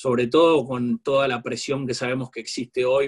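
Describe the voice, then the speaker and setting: His voice has a somewhat breathy quality. The man keeps a moderate speed. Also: dry, close sound with no echo. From Argentina. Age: 40s. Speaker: corporate lawyer. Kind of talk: interview.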